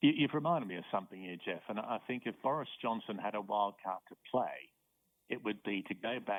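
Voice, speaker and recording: Very fast speech with an Australian accent. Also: man. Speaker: professor. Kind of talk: interview. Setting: phone call.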